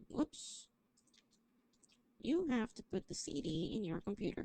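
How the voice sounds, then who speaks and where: A woman speaks fairly slowly in a fairly high voice with a dark, mellow tone. Her pitch swings very widely, and long pauses come often. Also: dry, close sound with no echo. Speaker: streamer. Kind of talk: gameplay livestream commentary. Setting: livestream. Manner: loud.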